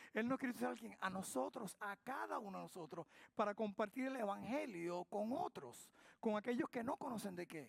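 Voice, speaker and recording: In a dry, close recording with no echo, a man talks at a moderate pace with an animated tone, a high pitch and very wide pitch swings. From Spain. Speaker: pastor. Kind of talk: sermon. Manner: animated, call-and-response questions.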